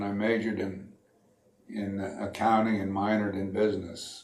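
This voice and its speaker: At a moderate pace, a man speaks with a Northeastern US accent and a fairly low pitch. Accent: American Northeast. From Connecticut, USA. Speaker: World War II Navy veteran. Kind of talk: interview answer.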